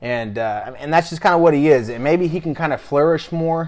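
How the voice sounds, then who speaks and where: A man's fairly high voice with ordinary pitch variation and hardly any pauses. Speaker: sports podcast co-host. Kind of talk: casual chat. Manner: fast.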